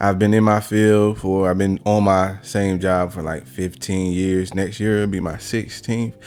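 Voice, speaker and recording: Over music in the background, a man with an American accent speaks in a fairly low, monotone, flat voice. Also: fairly slow pace, hardly any pauses. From rural Virginia. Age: 30s. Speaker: podcast host and blue-collar manager. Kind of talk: casual podcast conversation.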